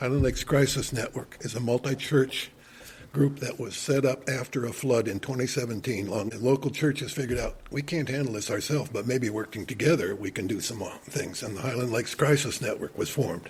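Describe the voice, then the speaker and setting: A speaker with an American accent talks at a fairly quick pace. Noticeable background noise sits behind the voice. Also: man, medium pitch for a man, ordinary pitch variation. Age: 70s. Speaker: retired church volunteer and elder. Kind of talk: podcast interview. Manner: halting, with frequent repetitions.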